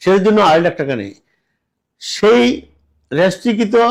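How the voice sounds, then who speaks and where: Very clean recording of a man's voice, silent background. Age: 70s. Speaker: returned migrant worker and businessman. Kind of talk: public complaint testimony.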